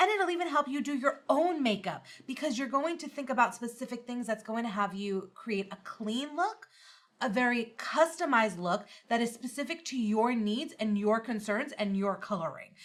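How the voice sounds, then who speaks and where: A woman with a high pitch, a New York accent and lively intonation. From US Northeast (New York). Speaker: makeup artist and teacher. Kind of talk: live-stream tutorial. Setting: livestream. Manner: fast.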